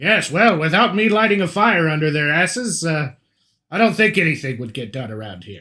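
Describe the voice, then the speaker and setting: On a very clean recording with a silent background, a man puts on a character voice, raised and projected, at a fairly high pitch with very wide pitch swings. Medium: actual play. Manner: imperious, blustering.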